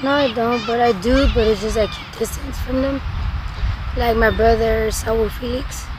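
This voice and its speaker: The sound is dry with no echo as a woman speaks. Noticeable background noise is present. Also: moderate pace. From Sonora, Mexico. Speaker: homeless person in addiction. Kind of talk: interview. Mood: subdued, reflective. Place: open country. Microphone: camera far.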